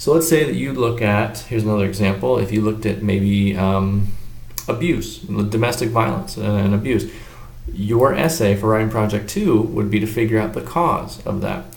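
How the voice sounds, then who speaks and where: Over noticeable background noise and audible room echo, a man speaks at a moderate pace in a fairly low voice with lively intonation. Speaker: teacher. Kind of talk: lecture. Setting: hotel business office. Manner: quiet.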